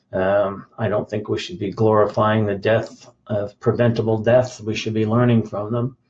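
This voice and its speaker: A somewhat breathy man's voice at a fairly low pitch. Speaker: bodybuilding coach. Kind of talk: live stream rant. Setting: live video stream. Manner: halting, many fillers.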